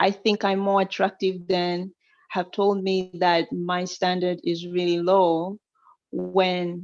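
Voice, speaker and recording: A woman with an African accent speaks very slowly at a medium pitch. Her intonation stays flat and monotone. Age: 20s. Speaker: caller. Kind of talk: call-in advice conversation. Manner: halting.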